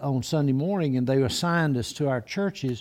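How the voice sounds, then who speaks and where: In an Alabama accent, a man speaks with a dark, mellow tone, a fairly high pitch, and ordinary pitch variation. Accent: Alabama Southern. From Alabama (Blount County). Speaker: retired pastor. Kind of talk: casual chat.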